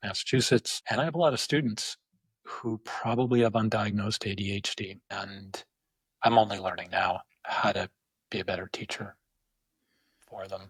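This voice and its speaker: A man with a fairly low, somewhat breathy voice speaks at a moderate pace with ordinary pitch variation, big swings in loudness, and long, frequent pauses. The very clean recording has a silent background and a dry, close sound with no echo. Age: 60s. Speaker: epidemiologist and professor. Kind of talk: podcast interview.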